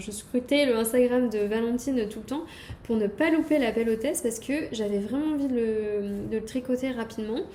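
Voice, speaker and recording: Speaking fairly slowly, a woman keeps a fairly high pitch and fairly even intonation. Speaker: knitting podcaster. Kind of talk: casual show-and-tell video podcast. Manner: hesitant, many fillers.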